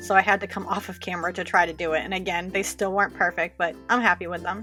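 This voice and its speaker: A woman talks at a very fast pace with a strong Boston accent. Her pitch is fairly low and her intonation flat and monotone, with music playing in the background. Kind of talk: nail art tutorial voice-over. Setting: home recording, new microphone.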